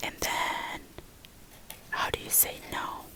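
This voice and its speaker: Over noticeable background noise, the speaker whispers. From southern Albania. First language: Albanian. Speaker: ASMR creator. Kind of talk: ASMR whisper tutorial. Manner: whispering; slow, repetitive.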